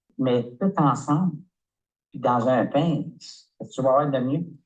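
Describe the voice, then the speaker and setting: A man's dark, mellow voice stays at a medium pitch, its rise and fall ordinary. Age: 70s. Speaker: customer giving a product testimonial. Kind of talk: testimony. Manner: halting, many hesitations.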